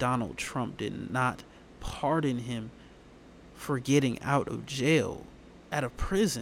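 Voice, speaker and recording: This man's delivery is very slow. He sits at a medium pitch, and his pitch varies in an ordinary way. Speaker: podcast host. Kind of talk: casual podcast monologue on hip-hop news. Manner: informal, talkative.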